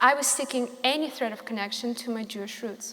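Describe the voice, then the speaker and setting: Noticeable background noise runs behind a woman with a high pitch. She keeps a moderate pace and ordinary pitch variation. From Russia. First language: Russian. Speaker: small business owner. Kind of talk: prepared speech reading.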